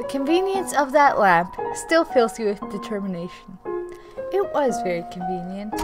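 A passage is read aloud in a natural voice.

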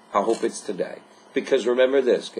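The voice belongs to a man and sits at a fairly high pitch. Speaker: life coach. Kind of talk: motivational pep talk to camera. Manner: earnest, upbeat, exhorting; repetitive, rhetorical questions. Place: home room. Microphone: webcam.

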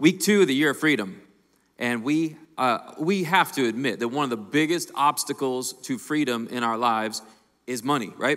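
A man's bright, sharp voice at a moderate pace. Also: quiet background. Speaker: lead pastor. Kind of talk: sermon-style introduction. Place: stage. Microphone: handheld.

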